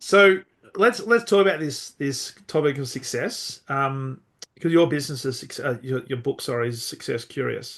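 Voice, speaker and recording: At a moderate pace, a man uses a normal speaking voice, fairly high in pitch, with lively intonation. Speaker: podcast host. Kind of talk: podcast interview questions.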